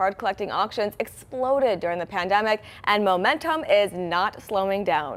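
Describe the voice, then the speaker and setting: A woman talks in a plain, everyday voice at a moderate pace. Her pitch is fairly high and her intonation lively. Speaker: TV news anchor. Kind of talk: TV news anchor read.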